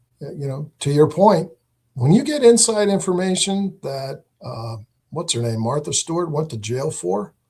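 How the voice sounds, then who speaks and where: Speaking with an American accent at a moderate pace, a man with a fairly high pitch and a dark, mellow tone shows very wide pitch swings and big swings in loudness. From New England (western Massachusetts). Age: 60s. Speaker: political candidate. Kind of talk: live interview.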